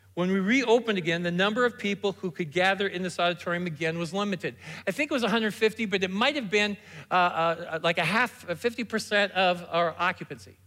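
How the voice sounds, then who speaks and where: On a very clean recording with a silent background, a man speaks at a fairly quick pace in a raised, projected voice, high in pitch and bright, sharp in tone. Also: ordinary pitch variation. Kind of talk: sermon. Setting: church stage with congregation.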